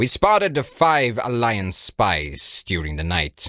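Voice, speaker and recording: In a put-on character voice, a man talks fairly slowly at a fairly low pitch on a very clean recording with a silent background. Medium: read story. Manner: dry, calm, coolly understated.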